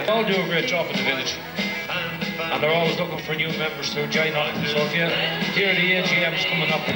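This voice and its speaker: Loud music plays in the background as a man talks at a fairly quick pace. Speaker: parade announcer on stage. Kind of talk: live event commentary. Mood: cheerful, joking. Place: street.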